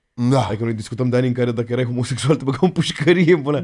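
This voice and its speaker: A man's dark, mellow tone over a quiet background. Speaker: podcast guest or host. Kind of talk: casual conversation storytelling. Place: studio. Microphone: studio mic.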